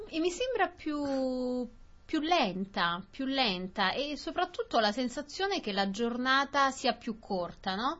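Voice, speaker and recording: Very slow and high-pitched, a woman speaks with very wide pitch swings. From southern Italy. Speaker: Italian newcomer in Australia. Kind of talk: casual conversation for language learners. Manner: halting, repetitive.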